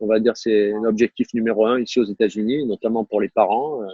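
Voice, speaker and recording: Here a man speaks in a southern French accent at a moderate pace. His pitch is medium and his intonation fairly even. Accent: southern French accent, noticeable. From southern France, Var (Toulon area). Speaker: tennis coach, former pro player. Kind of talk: interview conversation. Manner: hesitant, many fillers and repetitions.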